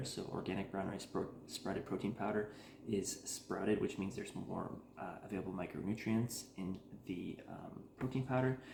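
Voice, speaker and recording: Soft-spoken talk at a moderate pace with ordinary pitch variation, amid noticeable background noise and audible room echo. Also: man. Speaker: cooking channel host. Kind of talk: tutorial. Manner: casual, filler-heavy.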